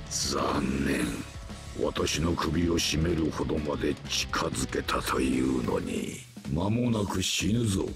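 Over clear music in the background, a man uses a put-on character voice with a very deep, low pitch at a very slow pace. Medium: dub. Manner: calm, ominous.

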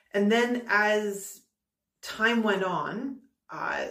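Audible room echo surrounds a woman's voice over a quiet background. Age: 30s. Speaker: YouTuber reviewing hair loss products. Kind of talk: casual vlog monologue. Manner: halting, with repetitions. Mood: candid, mildly disappointed. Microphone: phone near.

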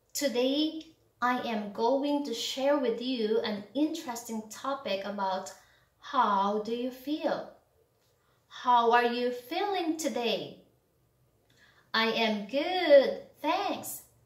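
Against a quiet background with audible room echo, a woman talks very slowly in a high voice, leaving long, frequent pauses. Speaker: English tutor. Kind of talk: English lesson to camera. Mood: acts out emotions. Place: home room.

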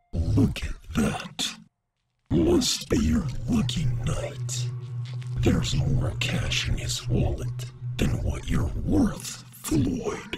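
A raspy male voice at a very slow pace. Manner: sneering, gleeful, cruel.

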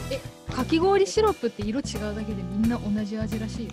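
A woman talks at a fairly quick pace. Clear music plays behind her, and the sound is dry with no echo. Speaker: voice actor. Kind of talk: casual variety show talk. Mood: cheerful, playful. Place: home room. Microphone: camera far.

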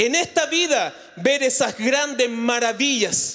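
Against a quiet background, a man speaks in an animated tone at an extremely high pitch with ordinary pitch variation. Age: 40s. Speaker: pastor. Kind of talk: sermon. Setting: church. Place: church. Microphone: handheld.

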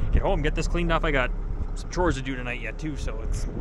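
A man's voice comes through fairly quickly, its sound dry with no echo, while loud background noise runs underneath. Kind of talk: casual vlog chat. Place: farm machine. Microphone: phone near.

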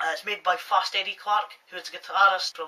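Fairly quick and fairly even in intonation, a man speaks with a bright, sharp tone.

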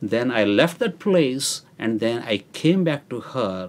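The man's intonation is lively, though his pace is very slow. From India. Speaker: church member giving testimony. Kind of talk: testimony. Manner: halting. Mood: earnest, calm.

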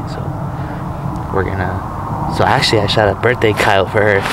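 A man's dry, echo-free voice amid loud background noise. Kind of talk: casual vlog chat. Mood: relaxed, amused, laughing. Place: open country. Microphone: phone near.

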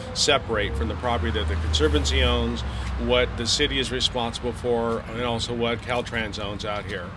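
Very wide pitch swings at a fairly quick pace over noticeable background noise. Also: man, very deep, low pitch for a man. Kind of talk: interview answer. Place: street.

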